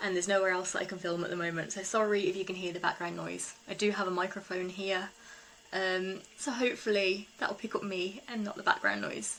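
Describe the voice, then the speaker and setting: A woman's fairly even intonation carries through noticeable background noise. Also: medium pitch for a woman, fairly quick pace. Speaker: eco-living vlogger. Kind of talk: casual vlog talk.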